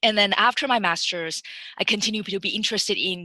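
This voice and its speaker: A woman speaks at a fairly quick pace with a Chinese accent and ordinary pitch variation. Her tone is bright and sharp. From Taiwan. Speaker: machine learning engineer. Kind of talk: webinar career talk. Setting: webinar. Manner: halting, many fillers and restarts.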